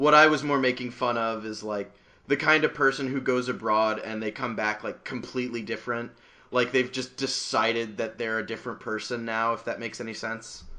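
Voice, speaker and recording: A man's bright, sharp voice in an American accent, fairly quick and fairly even in intonation, over a quiet background. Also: medium pitch for a man. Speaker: podcast host. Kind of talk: casual chat.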